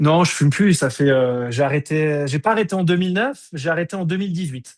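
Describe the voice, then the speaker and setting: Speaking at a fairly quick pace, a man with a plain, everyday voice has a fairly high pitch and ordinary pitch variation. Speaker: energy healing teacher. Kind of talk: online workshop.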